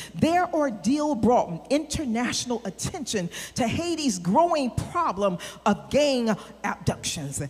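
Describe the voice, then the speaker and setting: A woman's animated, high-pitched voice with very wide pitch swings at a fairly slow pace, over noticeable background noise. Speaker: preacher. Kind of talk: sermon. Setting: church with congregation. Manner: animated, exhorting the congregation with call-and-response.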